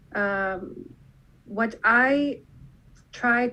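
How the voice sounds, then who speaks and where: A woman's bright, sharp-toned voice. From Lebanon (Beirut). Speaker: dentist. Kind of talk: presentation.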